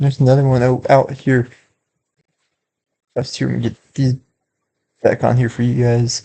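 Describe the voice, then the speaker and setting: A man's put-on character voice, mumbling at a moderate pace and medium pitch, monotone and flat, with long, frequent pauses. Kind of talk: casual.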